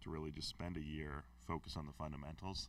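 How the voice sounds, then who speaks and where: Very fast and with vocal fry, a man talks in a very deep, low pitch. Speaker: film school admissions advisor. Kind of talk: q&a talk to students. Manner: loud.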